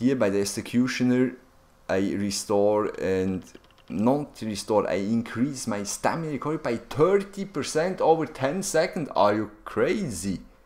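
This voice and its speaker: In a non-native accent, a man talks at a fairly slow pace while his pitch swings very widely. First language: not English. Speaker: gaming YouTuber. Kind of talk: gameplay tutorial. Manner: halting, many fillers; animated.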